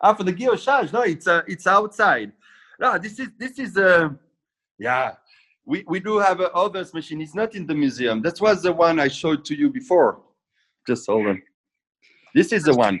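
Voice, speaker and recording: On a very clean recording with a silent background, a high-pitched man with a non-native accent speaks at a moderate pace with very wide pitch swings and long, frequent pauses. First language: French. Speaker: watchmaking machinery dealer. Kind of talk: casual interview. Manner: halting.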